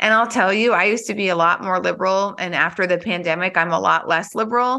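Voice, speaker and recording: A woman's bright, sharp voice at medium pitch, with ordinary pitch variation and a quiet background. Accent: American. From US Midwest, Bismarck, North Dakota. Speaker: entrepreneur. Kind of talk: interview.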